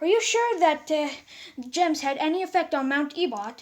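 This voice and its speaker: At a moderate pace, a woman performs a put-on character voice at an extremely high pitch. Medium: read story.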